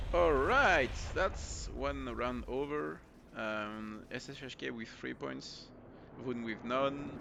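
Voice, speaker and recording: Lively in intonation and bright, sharp in tone, a man with a French accent speaks at a fairly slow pace. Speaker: esports caster. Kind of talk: live commentary. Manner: halting.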